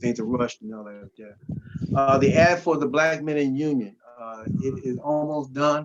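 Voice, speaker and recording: His voice is fairly high for a man, with ordinary pitch variation and big swings in loudness. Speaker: union chapter president chairing meeting. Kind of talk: membership meeting report. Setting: video call. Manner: fast.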